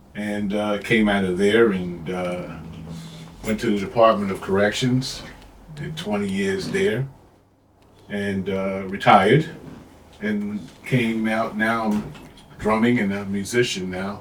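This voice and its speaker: A man's fairly low voice at a very slow pace, with long, frequent pauses, fairly even intonation and audible room echo. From New York, Queens. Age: 60s. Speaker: retired corrections officer and drummer. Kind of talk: casual chat.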